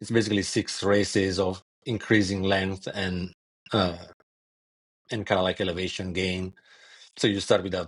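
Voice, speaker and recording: A man with an Italian accent, very deep and low in pitch, monotone and flat, at a moderate pace against a quiet background. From Italy. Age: 40s. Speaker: ultrarunner. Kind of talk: podcast interview.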